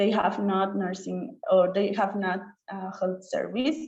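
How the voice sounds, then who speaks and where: Somewhat breathy and dark, mellow in tone, a woman with an Oaxacan accent speaks at a medium pitch with ordinary pitch variation amid audible room echo. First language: Chatino. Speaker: nurse and student scholar. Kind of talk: webinar presentation. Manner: halting, with many repetitions and fillers.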